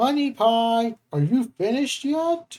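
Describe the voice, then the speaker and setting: Shouting in a put-on character voice, someone speaks at a fairly slow pace with a fairly high pitch. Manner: yelling.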